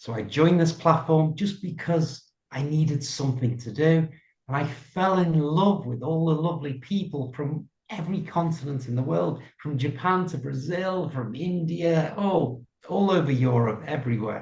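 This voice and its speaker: Moderately paced, a man speaks with a fairly high pitch. His pitch variation is ordinary. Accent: British. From Liverpool, England. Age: 60s. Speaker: English coach. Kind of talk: interview.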